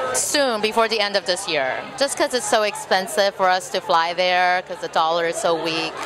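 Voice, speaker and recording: Lively intonation marks this woman's speech, heard with audible room echo and crowd noise in the background. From Texas, with early years in Taiwan and Bolivia. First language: Mandarin Chinese. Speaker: burlesque performer and show producer. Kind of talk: casual interview. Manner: animated.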